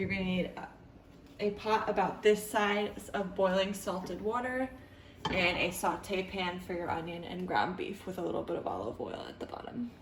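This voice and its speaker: Medium-pitched woman at a moderate pace, her intonation fairly even, with noticeable background noise. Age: 20s. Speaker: stay-at-home mother. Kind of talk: casual cooking tutorial to camera.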